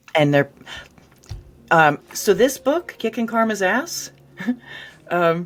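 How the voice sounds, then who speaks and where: A woman with an American accent speaks at medium pitch, very slowly, with long, frequent pauses. Her pitch swings very widely, and there is noticeable background noise. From New Jersey. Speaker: ghostwriter and book editor. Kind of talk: interview conversation.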